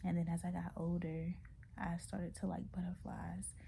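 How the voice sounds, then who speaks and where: Speaking in a whisper, a woman can be heard. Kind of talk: casual talk to camera. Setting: at home, away from desk. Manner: whispering; hesitant, many fillers.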